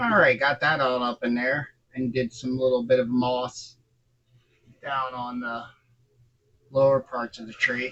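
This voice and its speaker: A man speaks quietly. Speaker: scale model builder. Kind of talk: tutorial. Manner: casual, halting.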